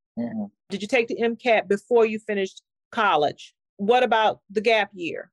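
In an American accent, a woman speaks at a fairly slow pace with a fairly high pitch, in a dry, close sound with no echo and a quiet background. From Houston, Texas. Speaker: physician and podcast host. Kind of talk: interview. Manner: animated.

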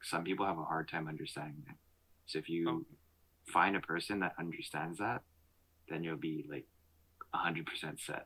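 With a Canadian accent, a man speaks at a moderate pace in a very deep, low voice with a bright, sharp tone, flat monotone intonation and long, frequent pauses. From Montreal, Canada. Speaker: podcast host. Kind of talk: casual chat. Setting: video call.

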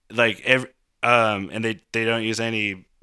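In a very clean recording with a silent background, a man talks at a fairly slow pace with a fairly low pitch and a bright, sharp tone. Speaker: musician and DJ. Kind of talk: casual chat. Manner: gets loud.

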